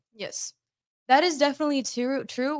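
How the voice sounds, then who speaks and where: A woman speaks with an American accent. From USA, Colombian family. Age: 20s. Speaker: real estate show co-host. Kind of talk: live show discussion. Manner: fluent.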